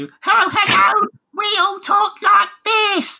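An extremely high-pitched, put-on character voice. It moves at a very slow pace. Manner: chirpy, grating.

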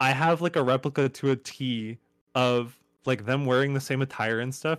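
A man with an American accent and a normal speaking voice talks at medium pitch and moderate pace, with a dry, close sound with no echo on a very clean recording with a silent background. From upstate New York, near Buffalo. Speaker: emo-rap artist. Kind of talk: casual interview.

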